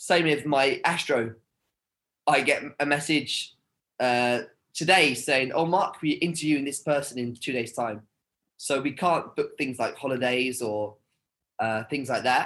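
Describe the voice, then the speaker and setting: A fairly high-pitched man's voice with a British accent, fairly slow, with long, frequent pauses and ordinary pitch variation. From United Kingdom. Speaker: TV host and content creator. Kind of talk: casual interview. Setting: video call.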